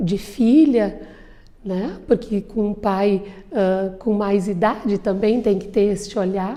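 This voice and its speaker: At a very slow pace, a woman of medium pitch speaks with fairly even intonation. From Bento Gonçalves, Rio Grande do Sul, Brazil. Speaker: lawyer and public speaker. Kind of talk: interview.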